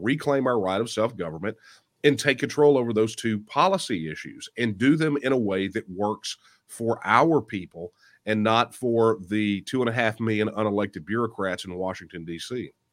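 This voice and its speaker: In a Texan accent, the speaker moves at a moderate pace with lively intonation in a very clean recording with a silent background. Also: man. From Texas. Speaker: author and political candidate. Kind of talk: interview discussion.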